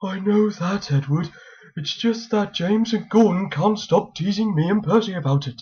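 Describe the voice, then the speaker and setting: A cartoonish character voice at a middle pitch. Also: moderate pace. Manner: fretful, stammering.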